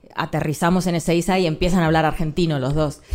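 This woman has a fairly low pitch and fairly even intonation. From Argentina. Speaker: journalist. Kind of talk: live panel conversation. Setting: stage with audience.

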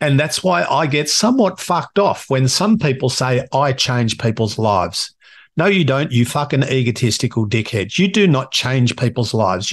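A man at medium pitch with an Australian accent, somewhat breathy, with lively intonation, a moderate pace, hardly any pauses and very even loudness over a quiet background. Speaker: podcast host and coach. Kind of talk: solo monologue.

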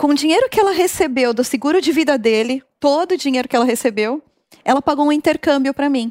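Her voice is high-pitched for a woman, moving at a fairly quick pace with ordinary pitch variation, in a dry, close sound with no echo. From Brazil, São Caetano (São Paulo). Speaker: marketing executive. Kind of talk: interview.

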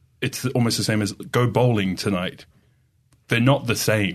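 Against a quiet background, a man speaks in an Australian accent at a moderate pace. His pitch is fairly low, with ordinary pitch variation. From Australia, Sydney. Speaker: digital marketer. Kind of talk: casual chat.

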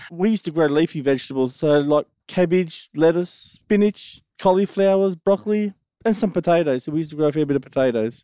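A man's high voice with an Australian accent, a fairly quick pace and ordinary pitch variation, on a very clean recording with a silent background. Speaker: farmer. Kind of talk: casual interview.

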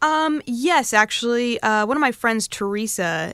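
In a very clean recording with a silent background, a woman with an American accent speaks at a moderate pace in a bright, sharp tone with very wide pitch swings. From Connecticut, US. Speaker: radio DJ. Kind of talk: casual interview. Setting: radio studio.

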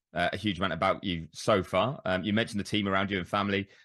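A man with a British accent, a very deep, low pitch and a very fast pace, over a quiet background. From Britain. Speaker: motorsport journalist. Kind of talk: interview.

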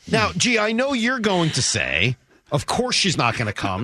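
A man speaks in an animated, cheerful tone with very wide pitch swings. Noticeable background noise is present. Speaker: sports radio host. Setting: radio studio.

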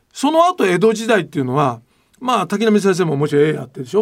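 A man talks in a high pitch. His pitch swings widely.

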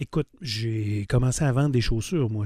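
Medium pitch and a dark, mellow tone from a man. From Quebec City, Quebec. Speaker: car dealership owner. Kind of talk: interview.

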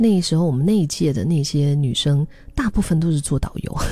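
A woman with a fairly low pitch speaks at a fairly quick pace. She sounds somewhat breathy, with ordinary pitch variation. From Dali, Yunnan, China. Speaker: podcast host. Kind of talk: reflective monologue. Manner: casual, hesitant with fillers.

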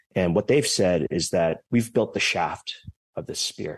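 A fairly low-pitched man at a moderate pace with ordinary pitch variation, against a quiet background. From California, San Jose. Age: young. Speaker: startup founder. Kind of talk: interview. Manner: halting.

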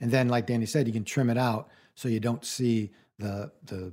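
Here is an ordinary speaking voice from a man at a medium pitch. He talks at a fairly quick pace. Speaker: radio co-host. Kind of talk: radio co-host chat, casual how-to advice. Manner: relaxed, conversational, plain-spoken.

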